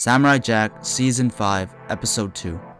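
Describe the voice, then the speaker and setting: A man speaks with ordinary pitch variation while music plays in the background. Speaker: video reviewer. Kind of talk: scripted narration. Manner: fast.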